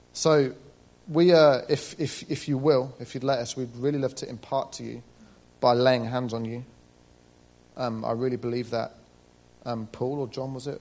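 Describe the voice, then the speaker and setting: With long, frequent pauses and big swings in loudness, a man with a British accent speaks at a moderate pace in a medium-pitched voice. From Britain. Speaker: church member back from ministry school. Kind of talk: church testimony.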